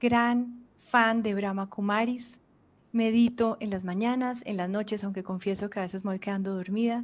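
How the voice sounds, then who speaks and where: A woman's fairly high, monotone, flat voice in a Colombian accent, at a fairly slow pace, in a very clean recording with a silent background. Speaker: journalist and interviewer. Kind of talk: interview.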